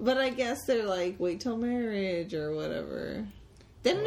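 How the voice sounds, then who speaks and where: Speaking at a moderate pace, a woman can be heard through noticeable background noise. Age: 30s. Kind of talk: casual chat.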